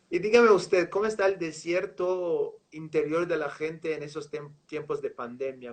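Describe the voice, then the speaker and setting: This speaker has a Portuguese accent, uses ordinary pitch variation, and hardly pauses at all. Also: man. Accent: Portuguese-accented Spanish (portuñol). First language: Portuguese (speaking Spanish). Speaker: live show host. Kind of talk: interview. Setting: online livestream.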